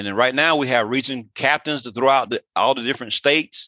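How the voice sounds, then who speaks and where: Recorded dry and close with no echo against a quiet background, a man speaks at a medium pitch with a bright, sharp tone. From southern Alabama (Andalusia). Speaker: high school principal and athletic director. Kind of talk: interview.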